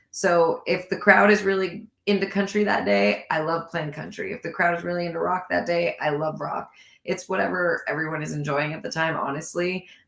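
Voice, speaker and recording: A woman with an American accent and vocal fry talks at a fairly quick pace in a fairly low pitch with ordinary pitch variation. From California. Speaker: country singer-songwriter. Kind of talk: casual interview chat. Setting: live online show.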